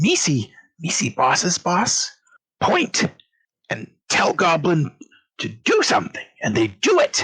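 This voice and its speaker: A man uses a put-on character voice at a high pitch. He goes at a fairly slow pace with long, frequent pauses. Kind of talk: broken, simple speech.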